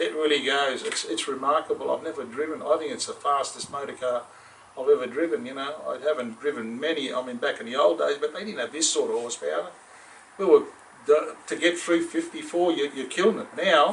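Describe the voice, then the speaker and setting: Over noticeable background noise, a man with an Australian accent speaks at a fairly quick pace, his loudness swinging widely. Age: 60s. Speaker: car enthusiast, father of car owner. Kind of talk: casual interview. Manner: halting.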